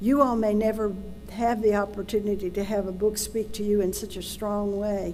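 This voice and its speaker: A woman with a Tennessee accent talks at a moderate pace in a medium pitch with monotone, flat intonation, music playing in the background. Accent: US Southern (Tennessee). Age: 70s. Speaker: adoption search advocate and adoptee. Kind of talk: public talk.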